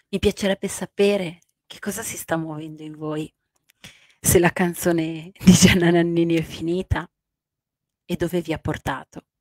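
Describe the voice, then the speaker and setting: Talking at a moderate pace with fairly even intonation, a woman makes big swings in loudness and long, frequent pauses, in a dry sound with no echo against a quiet background. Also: fairly low pitch for a woman. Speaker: life coach. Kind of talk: late-night radio-style coaching talk. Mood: warm, soft, emotional. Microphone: handheld.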